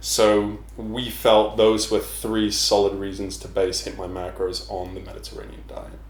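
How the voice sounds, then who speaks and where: Over noticeable background noise, a man with an English accent speaks at a fairly slow pace. He barely pauses, and his loudness swings widely. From England. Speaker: personal trainer. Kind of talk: casual chat.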